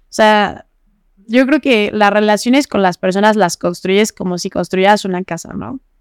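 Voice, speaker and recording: The sound is dry and close, with no echo. A woman speaks at a medium pitch and a moderate pace, with ordinary pitch variation. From Morelos, Mexico. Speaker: young economist and political activist. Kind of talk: casual interview. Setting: studio.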